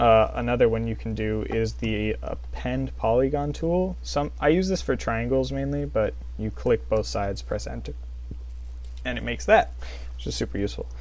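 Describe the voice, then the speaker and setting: A man talks at a moderate pace, and room echo is audible around him. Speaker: 3D modeling instructor. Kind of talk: tutorial.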